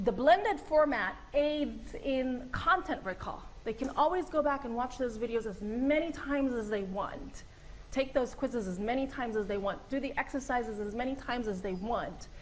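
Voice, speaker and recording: A woman's high voice with lively intonation at a moderate pace, over noticeable background noise. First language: Arabic. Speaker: professor. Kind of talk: presentation to colleagues.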